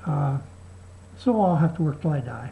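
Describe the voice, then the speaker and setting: Somewhat breathy and dark, mellow in tone, a woman's voice moves at a moderate pace through very wide pitch swings. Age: 60s. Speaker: video blogger. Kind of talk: video response monologue. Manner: halting.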